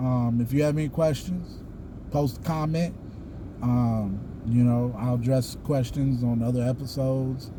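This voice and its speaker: In a Southern US accent, a man speaks fairly slowly with fairly even intonation and very even loudness, with audible room echo. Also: medium pitch for a man. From US South. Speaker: YouTuber, Freemason. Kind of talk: casual vlog monologue. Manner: halting, many fillers.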